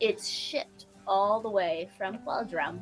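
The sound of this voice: A female-sounding voice puts on a character voice at a medium pitch for a woman. She goes at a fairly slow pace over clear background music.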